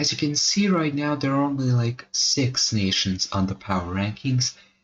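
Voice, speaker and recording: His pitch is fairly high, and he sounds somewhat breathy with lively intonation. The man keeps a moderate pace and very even loudness. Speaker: mapping video creator. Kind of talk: casual narration over map video. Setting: home recording at night. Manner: quiet, soft-spoken.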